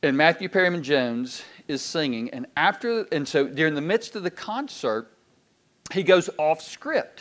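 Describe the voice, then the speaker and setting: A man speaks with a Southern US accent at a fairly high pitch. His pitch swings very widely. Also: moderate pace. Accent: Southern US (Georgia). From US South, Georgia (Decatur, Loganville). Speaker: pastor. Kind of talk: sermon. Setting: church. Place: church.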